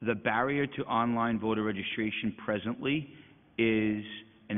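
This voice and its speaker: Here is a man with an ordinary speaking voice. His pitch is fairly low and his pace moderate. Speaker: elections agency executive director. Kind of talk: budget hearing testimony.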